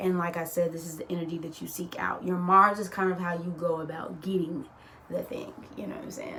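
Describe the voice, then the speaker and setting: Noticeable background noise and audible room echo fill the recording. The woman's voice sits at a medium pitch. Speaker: astrologer. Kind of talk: casual explainer monologue. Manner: animated.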